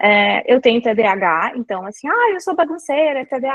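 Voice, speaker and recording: The speaker is a woman. Her delivery is moderately paced. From southern Brazil, Santa Maria (Rio Grande do Sul). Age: 40s. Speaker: brand manager and lecturer. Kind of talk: lecture.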